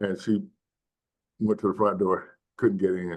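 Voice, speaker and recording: The speaker has a Mississippi accent. The pace is moderate. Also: man. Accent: Southern US (Mississippi). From US South, Mississippi Delta. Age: 70s. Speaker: nonprofit community health leader. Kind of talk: panel discussion storytelling. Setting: webinar video call.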